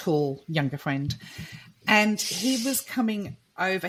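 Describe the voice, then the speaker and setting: Lively intonation marks this woman's speech. Her voice is somewhat breathy. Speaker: medium. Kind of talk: casual podcast conversation.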